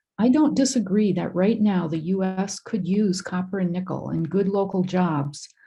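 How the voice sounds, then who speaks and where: With an Upper Midwest accent, a woman speaks at a moderate pace in a somewhat breathy, dark, mellow voice of medium pitch with ordinary pitch variation. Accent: Upper Midwest (Minnesota). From northern Minnesota (Sandstone). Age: 60s. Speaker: member of the public giving comment. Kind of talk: public comment. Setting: online video meeting.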